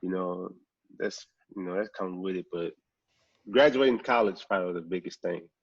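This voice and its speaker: With a New Orleans accent, a man with a very deep, low pitch talks at a fairly quick pace, with ordinary pitch variation, big swings in loudness and long, frequent pauses, in a dry, close sound with no echo. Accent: Southern US, New Orleans. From US South, New Orleans, Louisiana. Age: 20s. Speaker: professional sprinter. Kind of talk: casual podcast interview. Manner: casual, repetitive with many fillers.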